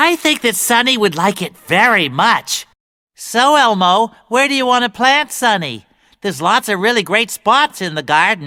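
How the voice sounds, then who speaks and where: This put-on character voice sits at a fairly high pitch and moves at a moderate pace. The recording is very clean, with a silent background. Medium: stage play. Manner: gentle, patient.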